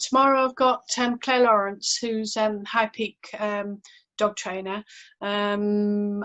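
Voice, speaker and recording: Over background music, a woman speaks at a fairly high pitch with fairly even intonation. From northern England, County Durham (Barnard Castle). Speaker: podcast host, veterinary nurse. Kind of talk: casual chat. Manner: hesitant, many fillers and repeats.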